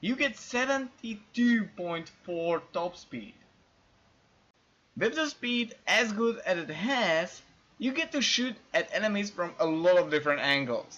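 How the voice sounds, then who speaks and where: This voice has a non-native accent. It moves at a fairly slow pace. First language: not English. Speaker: gaming video narrator. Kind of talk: game guide voice-over.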